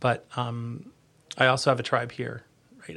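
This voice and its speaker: A man with an American accent, medium in pitch, bright and sharp in tone, at a moderate pace. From New Jersey. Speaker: government recruitment chief. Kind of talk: interview conversation. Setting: studio. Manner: loud.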